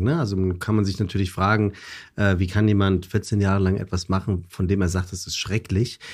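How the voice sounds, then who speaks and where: Recorded very cleanly against a silent background, a man speaks at a moderate pace and sounds somewhat breathy. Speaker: presenter and podcaster. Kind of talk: casual chat.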